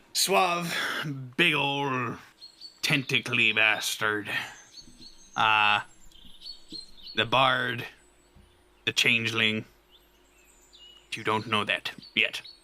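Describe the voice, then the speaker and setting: A man's put-on character voice at a medium pitch, very slow pace and ordinary pitch variation, broken by long, frequent pauses. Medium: actual play.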